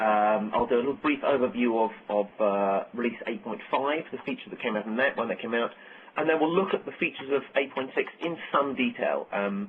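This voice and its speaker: There is noticeable background noise behind this man. He speaks with an American accent and lively intonation. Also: medium pitch for a man, fairly quick pace. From UK. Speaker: software architect. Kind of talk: technical webcast presentation. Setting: conference call webcast.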